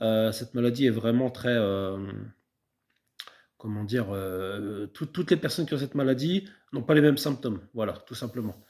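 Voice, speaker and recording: In a very clean recording with a silent background, a man at medium pitch speaks at a moderate pace with lively intonation. He takes long, frequent pauses. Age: 30s. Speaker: beekeeping vlogger. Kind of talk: personal vlog talk. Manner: halting, many fillers and repetitions.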